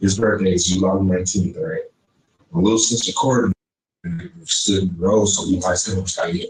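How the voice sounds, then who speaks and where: With a Texan accent, a man speaks at a fairly quick pace in a fairly low, somewhat breathy voice, leaving long, frequent pauses. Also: ordinary pitch variation. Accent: Texan Southern US. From East Texas (Shelby County) and Houston. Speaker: interviewee. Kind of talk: interview.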